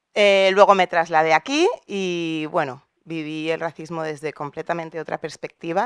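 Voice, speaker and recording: A woman's very deep, low voice, monotone and flat, at a fairly slow pace in a dry sound with no echo and a quiet background. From Valencia, Spain; Spain. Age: 40s. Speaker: audience member. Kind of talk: audience question. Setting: auditorium with audience. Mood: personal, reflective. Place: hall. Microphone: handheld.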